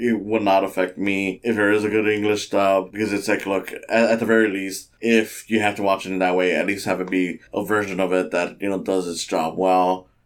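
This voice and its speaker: Speaking at a fairly quick pace with hardly any pauses, a man has a fairly low pitch and monotone, flat intonation. He has an American accent. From United States. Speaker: podcast host, animation reviewer. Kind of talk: casual solo podcast. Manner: casual, filler words, hesitant.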